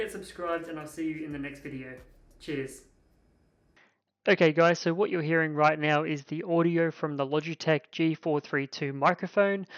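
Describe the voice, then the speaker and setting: An Australian-accented man at a moderate pace, fairly high in pitch, with fairly even intonation and big swings in loudness, in a dry, close sound with no echo against a quiet background. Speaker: tech reviewer. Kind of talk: product review.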